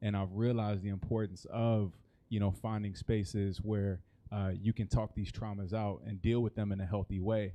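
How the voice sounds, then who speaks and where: In an American accent, a man speaks with a dark, mellow tone and monotone, flat intonation. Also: fairly low pitch for a man, moderate pace, quiet background. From US Midwest, Kansas City, Missouri. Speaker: nonprofit co-founder. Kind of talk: panel discussion.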